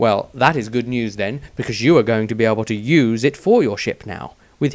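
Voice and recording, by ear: A natural voice reads aloud. Pitch shifts by an ordinary amount.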